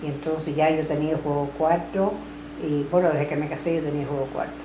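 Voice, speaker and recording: A woman's very deep, low voice in a Cuban accent, fairly quick and monotone with flat intonation, amid noticeable background noise and audible room echo. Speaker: grandmother recounting family history. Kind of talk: family oral history interview.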